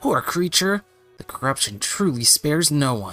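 A man's put-on character voice, fairly high-pitched with very wide pitch swings, at a moderate pace over faint music in the background. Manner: dramatic, earnest game-character delivery.

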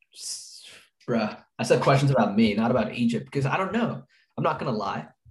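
Somewhat breathy, a man speaks at a fairly quick pace with lively intonation, broken by long, frequent pauses. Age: young. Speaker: college student, podcast co-host. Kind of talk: casual chat.

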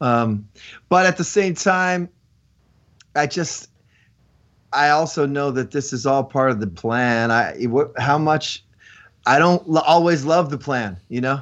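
This man's voice is fairly high, with ordinary pitch variation. He talks at a fairly slow pace and pauses often and at length. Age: 40s. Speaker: rock singer. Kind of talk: casual interview.

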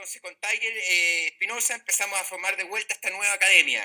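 In a dry, close recording with no echo, a man with a high pitch speaks at a very fast pace with fairly even intonation. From Chile, Valdivia. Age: 40s. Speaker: professional golfer. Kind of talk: casual interview.

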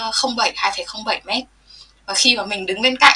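Background noise is noticeable. The speech moves at a moderate pace with ordinary pitch variation. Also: woman. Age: 20s. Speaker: nurse. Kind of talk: interview.

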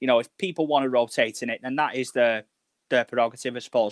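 In a Liverpool accent, a man speaks at a medium pitch and a fairly quick pace. His pitch variation is ordinary, and the sound is dry and close with no echo. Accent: Scouse. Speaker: fan guest.

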